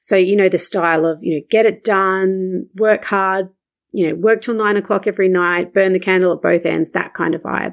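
A woman with an Australian accent speaks at a moderate pace with fairly even intonation. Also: medium pitch for a woman, very clean recording, silent background. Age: 30s. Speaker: marketing coach and podcast host. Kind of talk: solo podcast monologue.

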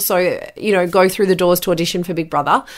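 A woman talks at a fairly quick pace with an Australian accent. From Australia, New South Wales (Bathurst). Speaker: podcast host and former radio host. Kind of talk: solo podcast monologue, personal storytelling.

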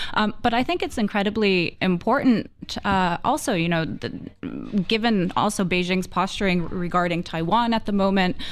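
A woman's normal speaking voice at medium pitch, with ordinary pitch variation, on a very clean recording with a silent background. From US, Florida. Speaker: foreign policy analyst. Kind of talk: radio panel discussion.

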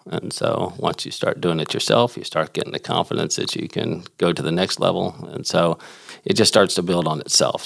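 A man with an American accent speaks in a very deep, low pitch at a moderate pace. The background has noticeable noise. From Houston, Texas. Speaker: inventor. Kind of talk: interview conversation.

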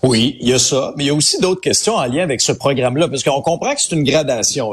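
A fairly high-pitched man speaks very fast as noticeable background noise runs underneath. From Quebec, Abitibi. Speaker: radio host, social commentator. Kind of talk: casual chat. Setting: studio.

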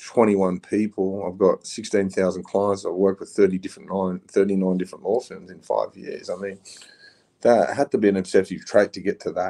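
Heard with a dry, close sound and no echo, a man with an Australian accent speaks at a moderate pace with big swings in loudness. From Queensland, Australia. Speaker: former prisoner and abuse survivor advocate. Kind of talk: interview, life story. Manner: animated.

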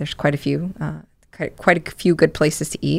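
A woman talks at a moderate pace in an American accent. The recording is very clean, with a silent background. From Connecticut, New Britain. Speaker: fair organizer, social media and entertainment lead. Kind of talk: radio interview.

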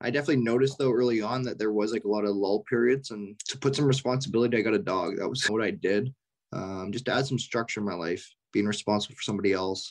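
Speaking at a very fast pace, a man talks in a western Canadian accent. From Canada, Richmond, British Columbia. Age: 20s. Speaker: professional hockey player. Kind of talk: interview.

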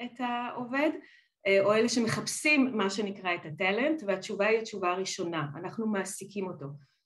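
This is a plain, everyday voice moving at a moderate pace. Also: woman. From Israel. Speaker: business partnerships director. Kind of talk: interview.

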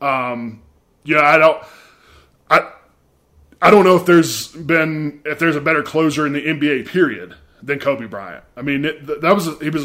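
With a Mississippi accent, a man talks at a fairly quick pace in a bright, sharp tone. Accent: Mississippi Southern US. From US South, Mississippi. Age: 30s. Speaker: sports journalist, podcast host. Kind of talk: casual sports chat.

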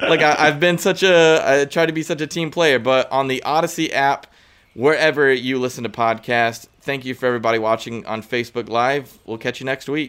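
In an American accent, a man with an ordinary speaking voice talks at a fairly quick pace, with fairly high pitch and ordinary pitch variation. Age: 20s. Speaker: sports podcast co-host. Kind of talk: casual chat. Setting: outdoors on vacation, remote recording.

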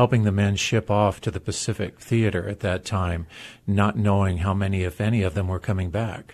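A man uses a plain, everyday voice at a fairly low pitch. He moves at a fairly quick pace with fairly even intonation against a quiet background. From US, military family (moved around). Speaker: former pro football player. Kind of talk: interview.

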